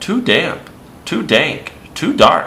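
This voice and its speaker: A squeaky, put-on character voice comes through over clear background noise. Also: man. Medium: read story.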